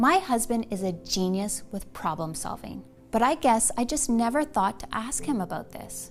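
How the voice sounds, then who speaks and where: Music plays in the background as a woman talks at a fairly slow pace. Her pitch swings very widely. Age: 40s. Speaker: weight loss supplement spokeswoman. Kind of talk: sales pitch. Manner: storytelling, personal testimony.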